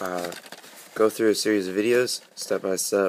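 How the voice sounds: Fairly low in pitch, a man speaks at a moderate pace with a fairly bright tone.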